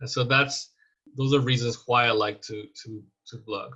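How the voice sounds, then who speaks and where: At a moderate pace, a man with a Spanish accent speaks at a medium pitch with fairly even intonation. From Mexico. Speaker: scientist and teacher. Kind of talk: lecture.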